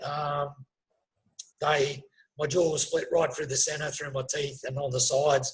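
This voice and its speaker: The man talks at a moderate pace and sounds somewhat breathy. His intonation is monotone and flat. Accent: Australian. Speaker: former soldier and police officer, spinal injury survivor. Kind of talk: interview testimony. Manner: halting, many fillers.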